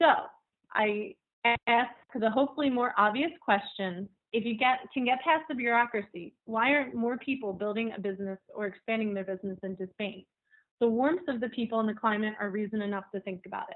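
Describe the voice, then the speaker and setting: Using an ordinary speaking voice, a woman with an American accent talks at a fairly quick pace, fairly high in pitch, with ordinary pitch variation. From United States. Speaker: journalist, webinar presenter. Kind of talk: webinar presentation.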